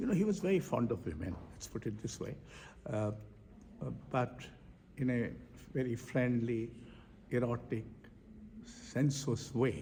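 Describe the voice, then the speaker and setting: A man speaks with a dark, mellow tone, vocal fry and lively intonation. His pace is fairly slow, with long, frequent pauses. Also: medium pitch for a man. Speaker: poet and foundation director. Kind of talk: interview. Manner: halting.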